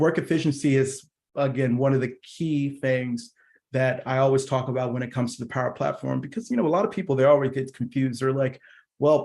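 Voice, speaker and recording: Delivered at a fairly quick pace with fairly even intonation, this is a normal speaking voice. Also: man, medium pitch for a man. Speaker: product engineer presenting a tech session. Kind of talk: technical presentation. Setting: virtual user group meeting.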